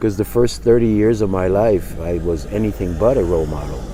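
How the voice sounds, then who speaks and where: Lively intonation comes through at a moderate pace, with audible room echo and noticeable background noise. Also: man. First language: not English. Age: 60s. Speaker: life coach. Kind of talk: casual vlog monologue. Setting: outdoors. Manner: halting.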